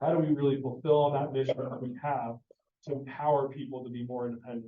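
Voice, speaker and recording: This man's voice sits at a medium pitch as he moves through his words fairly quickly. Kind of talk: presentation to parents. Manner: fast; animated.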